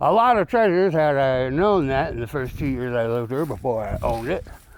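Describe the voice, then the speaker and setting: In a room with audible echo, a man speaks in an animated tone with very wide pitch swings. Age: 60s. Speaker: YouTuber, construction worker. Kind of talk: casual vlog. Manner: rambling, animated.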